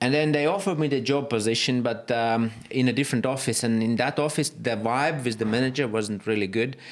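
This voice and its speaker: In a Latvian accent, a man speaks fairly quickly at a medium pitch with ordinary pitch variation. The recording is very clean, with a silent background. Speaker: property photographer and business owner. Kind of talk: podcast interview. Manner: halting.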